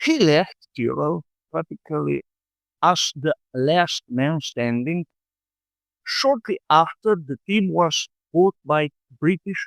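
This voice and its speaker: Speaking at a very slow pace with lively intonation, a man with a Slovenian accent has a high pitch for a man, recorded with a dry, close sound and no echo. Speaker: motorsport vlogger. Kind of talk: scripted narration.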